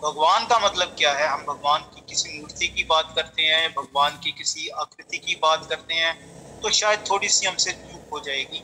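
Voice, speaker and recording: A man with a Punjabi accent speaks at a moderate pace with hardly any pauses. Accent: Punjabi-accented Hindi. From Punjab, India. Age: 50s. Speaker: meditation teacher. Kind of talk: spiritual lecture. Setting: talk with slides on screen.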